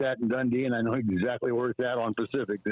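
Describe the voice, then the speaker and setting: A man speaks with an American accent. His pace is very fast. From US Midwest, Omaha, Nebraska. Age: 70s. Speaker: actor and former bush pilot. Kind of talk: casual chat. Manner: halting.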